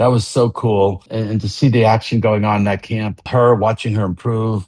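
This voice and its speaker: Recorded dry and close with no echo, a man with an unremarkable speaking voice talks at a moderate pace and a medium pitch. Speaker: founder of a rock fantasy camp. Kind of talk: podcast conversation.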